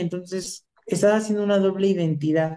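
A woman's medium-pitched voice, dark and mellow in tone, with ordinary pitch variation. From Michoacán, Mexico. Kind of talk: casual interview chat.

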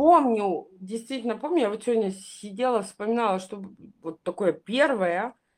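A woman with an unremarkable speaking voice talks at a moderate pace and a fairly high pitch, her intonation lively and her loudness swinging widely. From Crimea. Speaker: podcast panelist. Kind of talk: casual chat.

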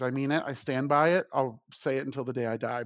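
Someone with an American accent speaks at a very fast pace over a quiet background. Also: man. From Florida (Tampa). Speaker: food podcast panelist. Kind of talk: casual chat.

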